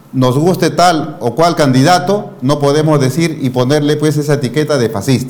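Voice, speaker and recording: A man with a fairly high pitch and ordinary pitch variation speaks over noticeable background noise, with audible room echo. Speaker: news interview host. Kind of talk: political commentary and interview.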